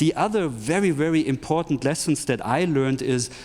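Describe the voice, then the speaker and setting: Noticeable background noise runs under a man speaking with a German accent. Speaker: tech entrepreneur, futurist speaker. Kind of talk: conference keynote talk. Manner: animated.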